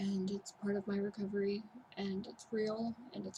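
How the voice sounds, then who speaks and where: Soft-spoken and at a fairly slow pace, a woman talks in a medium pitch with monotone, flat intonation. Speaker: vlogger in mental health recovery. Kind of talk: personal vlog testimony.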